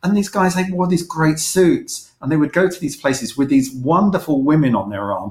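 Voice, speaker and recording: In a London accent, the speech flows with hardly any pauses and lively intonation. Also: man, fairly high pitch for a man, moderate pace. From London (East London, Manor Park). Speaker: magazine publisher and former advertising creative director. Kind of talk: interview.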